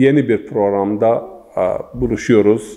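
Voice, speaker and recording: Here is a man with an eastern Turkish accent. His pitch sits fairly low. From Zaza region of eastern Turkey. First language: Zaza (speaking Turkish). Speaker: religious scholar and linguist. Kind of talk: interview. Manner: formal; halting.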